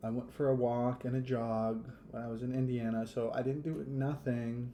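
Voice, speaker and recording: A man's voice sits at a medium pitch with a dark, mellow tone and fairly even intonation. The room echo is audible. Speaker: podcast host. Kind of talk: casual podcast monologue. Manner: hesitant, many fillers.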